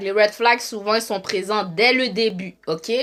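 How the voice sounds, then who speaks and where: A woman's fairly high, bright, sharp voice, animated in tone and fairly slow, with ordinary pitch variation. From Montreal, Quebec. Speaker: live streamer, relationship commentator. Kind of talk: casual live stream monologue. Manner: animated, repetitive.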